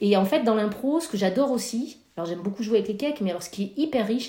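Talking at a very fast pace, a woman has a fairly high pitch and a dark, mellow tone that is somewhat breathy. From France, Corrèze (rural). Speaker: amateur improv actor. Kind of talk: casual interview. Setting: remote call. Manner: halting, many hesitations.

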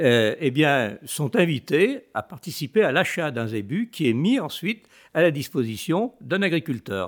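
A man speaks at a very slow pace with very wide pitch swings. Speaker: association president. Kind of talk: panel discussion interview.

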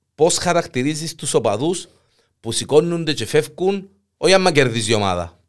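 At a moderate pace, a man with a Cypriot accent and a fairly high pitch speaks with lively intonation and big swings in loudness, in a very clean recording with a silent background. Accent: Cypriot Greek. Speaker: podcast host. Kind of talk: casual chat. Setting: studio.

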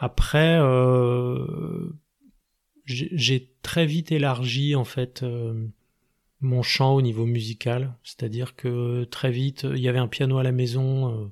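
A man talks very slowly with a medium pitch. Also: fairly even intonation. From Paris region, France. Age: 40s. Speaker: musician. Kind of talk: interview. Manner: halting.

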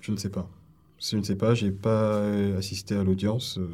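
This man's fairly low voice stays monotone and flat. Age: 40s. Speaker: police officer. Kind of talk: interview. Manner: hesitant, many fillers.

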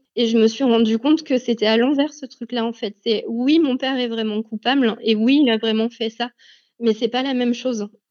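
A woman talks at a moderate pace and a fairly high pitch, her intonation fairly even. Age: 30s. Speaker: teacher, abuse survivor. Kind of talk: testimony. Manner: hesitant, many fillers.

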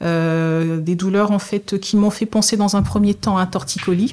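The woman speaks at a fairly slow pace with fairly even intonation. Her voice is medium-pitched for a woman, with a dark, mellow tone. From Togo. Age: 30s. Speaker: nurse. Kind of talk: testimony. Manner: hesitant, with frequent fillers.

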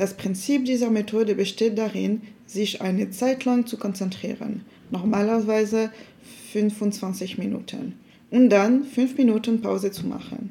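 A woman speaks at a fairly slow pace with a dark, mellow tone, a fairly high pitch and fairly even intonation. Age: 20s. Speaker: university student.

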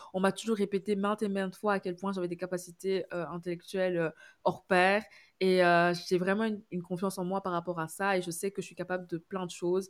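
Her medium pitch held in a monotone, flat intonation, a woman speaks at a fairly quick pace. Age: 20s. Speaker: communications graduate. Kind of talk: casual chat. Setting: remote call.

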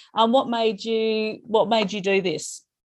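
At a moderate pace, a woman with an Australian accent talks in a high pitch over a quiet background. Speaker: spirituality podcast host. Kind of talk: casual interview.

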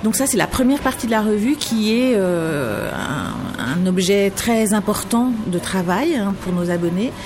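A woman speaks at a very slow pace with hardly any pauses and lively intonation. Her loudness stays very even against noticeable background noise. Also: medium pitch for a woman. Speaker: magazine editor-in-chief. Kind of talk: interview. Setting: café.

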